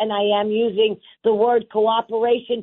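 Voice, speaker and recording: The speaker has a New York accent. The pace is fairly slow. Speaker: city council member. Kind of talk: radio interview. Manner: loud; emphatic.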